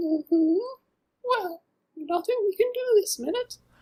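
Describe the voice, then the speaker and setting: A woman's put-on character voice, extremely high-pitched and squeaky, at a fairly slow pace. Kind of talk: lecture. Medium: audio drama.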